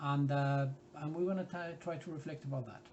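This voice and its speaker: A man with a fairly high pitch and a Spanish accent, at a moderate pace. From Spain. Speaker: art workshop leader. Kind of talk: tutorial. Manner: hesitant, many fillers.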